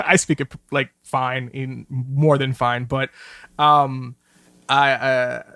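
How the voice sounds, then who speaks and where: In a New York accent, a man talks at a very slow pace with a medium pitch, a bright, sharp tone, monotone, flat intonation, and a dry, close sound with no echo. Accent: New York area English. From New Jersey, near New York City. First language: Spanish. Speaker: film director. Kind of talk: casual interview chat. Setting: video call. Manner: halting, many fillers and repeats.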